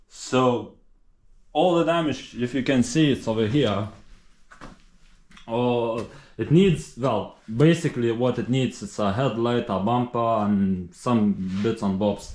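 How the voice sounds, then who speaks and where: A man with a Lithuanian accent talks at a very slow pace, leaving long, frequent pauses. His voice sits at medium pitch with ordinary pitch variation. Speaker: car restorer. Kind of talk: casual talk to camera.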